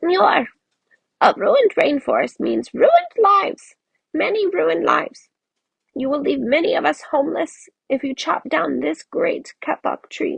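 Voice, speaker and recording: This put-on character voice is squeaky and high in pitch. It moves at a moderate pace. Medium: read story.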